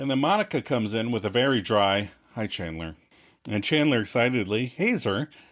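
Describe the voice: What is heard here is plain reading aloud.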